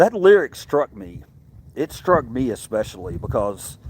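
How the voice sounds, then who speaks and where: This voice belongs to a man. He speaks with a Southern US accent. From US South, Mississippi. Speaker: livestreamer. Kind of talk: casual livestream chat with viewers. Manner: halting, many repetitions and fillers.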